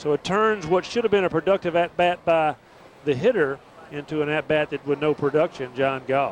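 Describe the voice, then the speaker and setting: A man with a fairly high pitch speaks at a fairly quick pace, in a dry, close sound with no echo but with noticeable background noise. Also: ordinary pitch variation. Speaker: color commentator. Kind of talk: baseball color commentary.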